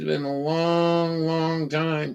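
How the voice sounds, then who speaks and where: With fairly even intonation and a pitch on the high side for a man, he has an unremarkable speaking voice. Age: 60s. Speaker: livestreamer. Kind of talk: casual chat.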